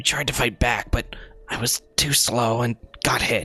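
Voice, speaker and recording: A man puts on a character voice that is raspy. His pitch sits at a medium level. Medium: game stream. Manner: casual, chummy.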